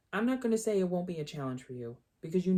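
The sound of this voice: An unforced reading voice with lively intonation comes through against a quiet background.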